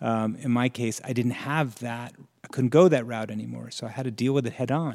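An ordinary speaking voice with an American accent moves at a moderate pace with fairly even intonation. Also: man, medium pitch for a man. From New Jersey, Morristown. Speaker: screenwriter and creator of a humor photo site. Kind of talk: casual interview chat.

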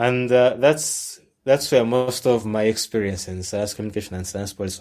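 Speaking fairly quickly with a Ugandan accent, a man uses a fairly low pitch and ordinary pitch variation. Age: 20s. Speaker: science communicator. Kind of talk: casual interview. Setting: video call.

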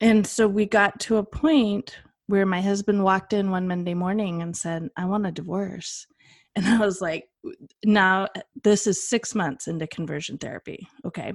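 A woman's medium-pitched voice with a Western US accent, at a moderate pace with ordinary pitch variation, over a quiet background. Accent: Western American. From Western United States. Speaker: advocate and foundation founder. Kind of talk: interview. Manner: animated.

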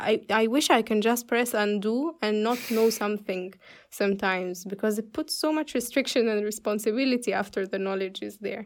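A woman at a moderate pace, with hardly any pauses and ordinary pitch variation. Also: fairly high pitch for a woman. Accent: Arabic. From Egypt. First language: Arabic. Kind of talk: casual chat. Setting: video call.

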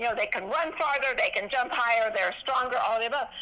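Over noticeable background noise, a woman speaks in an animated tone at a high pitch with ordinary pitch variation. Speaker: physician and veterans charity founder. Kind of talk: interview.

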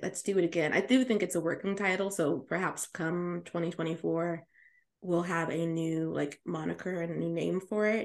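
A woman with a plain, everyday voice, fairly low in pitch, at a moderate pace. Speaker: podcast host. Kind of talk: casual chat.

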